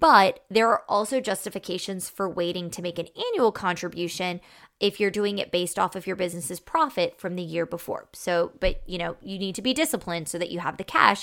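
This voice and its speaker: Speaking at a moderate pace, a woman uses a normal speaking voice at a medium pitch with ordinary pitch variation. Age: 30s. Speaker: podcast host, financial advisor to business owners. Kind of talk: solo podcast monologue, advice. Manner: casual, conversational.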